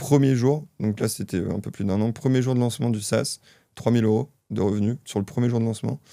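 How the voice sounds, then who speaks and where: With a dark, mellow tone, a man speaks at a fairly quick pace in a medium pitch with ordinary pitch variation. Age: 20s. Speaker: software entrepreneur. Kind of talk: podcast interview. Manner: hesitant, many fillers.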